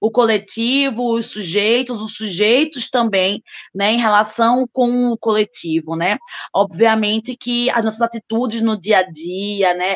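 A woman with an ordinary speaking voice, fairly high pitch, ordinary pitch variation and a fairly slow pace. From Recife, Brazil. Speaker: social work professor and activist. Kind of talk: panel discussion.

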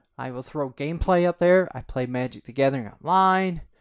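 A man with an American accent uses a normal speaking voice, fairly high in pitch, with lively intonation at a moderate pace against a quiet background. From upstate New York (Corning). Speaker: podcaster and YouTuber. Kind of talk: casual monologue, self-interview.

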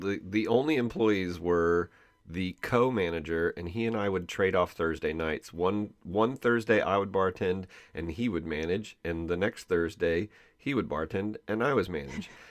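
The background stays quiet as a man speaks at a moderate pace. His very deep, low voice has ordinary pitch variation. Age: 50s. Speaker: podcast host. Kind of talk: casual chat, interview with his wife. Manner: loud.

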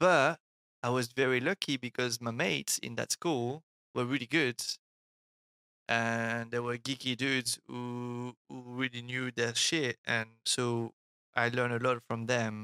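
With a French accent, a man speaks at medium pitch in a bright, sharp tone, with fairly even intonation and a fairly slow pace, in a very clean recording with a silent background and a dry, close sound with no echo. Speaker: artist and illustrator. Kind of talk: casual interview chat. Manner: halting, many repeated words.

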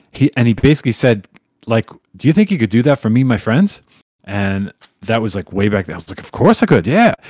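A plain, everyday voice: a man with an American accent, fairly quick and lively in intonation, with big swings in loudness and a dry, close sound with no echo. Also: medium pitch for a man. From New York. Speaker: music remixer. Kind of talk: casual chat.

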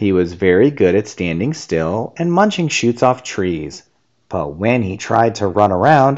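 Over quiet surroundings, someone reads in an unforced reading voice.

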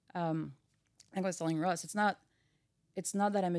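A woman talks at a very fast pace in a dark, mellow tone. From France, Brittany. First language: French. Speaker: engine research engineer. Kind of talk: casual chat.

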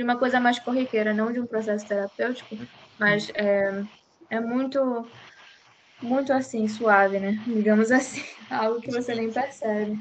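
A woman with a fairly high pitch speaks at a moderate pace and fairly even intonation, taking long, frequent pauses. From Belém, Pará, northern Brazil. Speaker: psychology student podcast host. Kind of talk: casual discussion.

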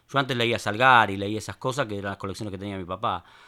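A man with a bright, sharp tone on a very clean recording with a silent background. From Buenos Aires, Argentina (Palermo Viejo). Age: 50s. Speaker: writer and poet. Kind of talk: interview.

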